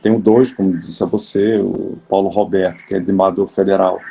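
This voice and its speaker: With music playing behind him, a man keeps his intonation fairly even. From Alagoas, Brazil. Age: 60s. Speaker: judge. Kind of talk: interview. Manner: halting.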